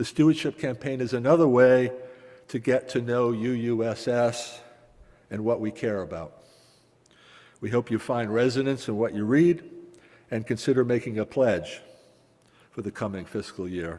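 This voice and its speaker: A man with a Massachusetts accent, his speech marked by long, frequent pauses. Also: medium pitch for a man, ordinary pitch variation, moderate pace. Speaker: congregation member, stewardship chair. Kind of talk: announcement at church service.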